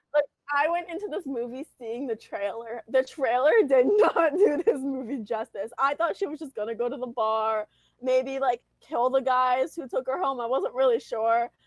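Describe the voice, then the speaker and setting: Loud, animated delivery with ordinary pitch variation. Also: woman, high pitch for a woman, moderate pace. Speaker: movie podcast co-host. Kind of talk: casual chat. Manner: animated, loud.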